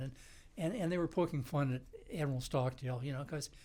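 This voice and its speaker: A somewhat breathy, fairly high-pitched male voice with an American accent. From western Pennsylvania. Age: 80s+. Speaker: war veteran. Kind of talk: interview. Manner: halting, many repetitions.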